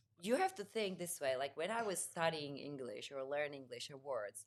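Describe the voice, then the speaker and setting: At a moderate pace, a woman is talking. The pitch of her voice swings very widely. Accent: Czech. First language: Czech. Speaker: home organizer. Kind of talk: casual chat.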